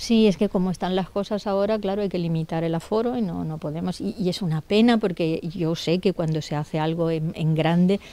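A woman's dark, mellow voice, fairly low in pitch with ordinary variation, at a fairly quick pace in a dry sound with no echo. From Spain, Elda (Alicante, Valencia region). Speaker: novelist. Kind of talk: interview. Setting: bookshop. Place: shop. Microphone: handheld.

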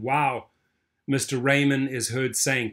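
A man speaks at a fairly slow pace with fairly even intonation. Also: quiet background. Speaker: online news commentator. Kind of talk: commentary reading news articles. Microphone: webcam.

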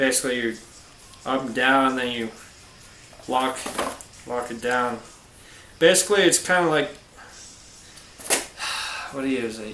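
A man with fairly even intonation, set against noticeable background noise. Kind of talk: tutorial. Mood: casual, boastful aside. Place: garage. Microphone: camera far.

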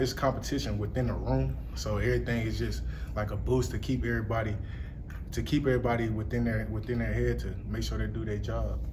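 This man talks at a fairly quick pace. Noticeable background noise runs behind him. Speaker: college football player. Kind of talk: interview. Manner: halting. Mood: relaxed, friendly. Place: hall. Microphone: handheld.

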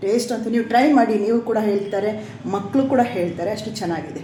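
A woman is heard through noticeable background noise and audible room echo. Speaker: cooking vlogger. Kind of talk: cooking tutorial. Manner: stumbling speech today.

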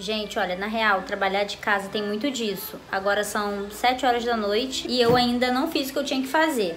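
A woman talks at a moderate pace with hardly any pauses and ordinary pitch variation. There is light background noise. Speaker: home vlogger. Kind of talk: casual vlog chat. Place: home room. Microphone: phone near.

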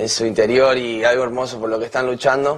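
There is a quiet background as the man talks in a monotone, with flat intonation. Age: 20s. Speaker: reality show contestant. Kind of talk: campaign speech. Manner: halting. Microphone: podium.

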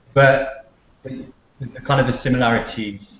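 A man with a Cardiff accent speaks at a medium pitch, and audible room echo is in the recording. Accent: Welsh (Cardiff). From Cardiff, Wales. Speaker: author and PR professional. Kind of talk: interview answer. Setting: video call. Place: office. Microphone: video call.

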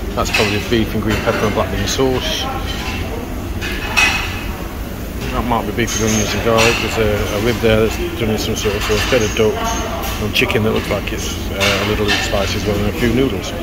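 A man talks at a fairly quick pace. Loud background noise is present. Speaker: food vlogger. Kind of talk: casual vlog chat. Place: cafe. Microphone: phone near.

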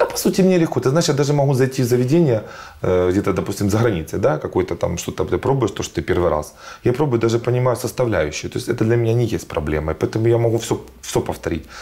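The speaker races along at a very fast pace, with very wide pitch swings. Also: man, medium pitch for a man. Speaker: fashion designer and agency director. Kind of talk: casual interview chat. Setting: studio. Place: studio.

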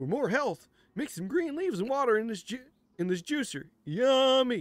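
A man speaks at a moderate pace in a put-on character voice pitched extremely high. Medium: game stream. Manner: pleading.

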